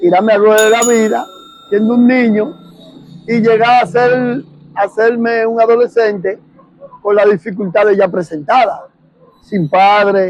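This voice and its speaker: A man with a high voice speaks fairly slowly at a very even loudness, with ordinary pitch variation and long, frequent pauses. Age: 60s. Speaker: war veteran. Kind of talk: testimony.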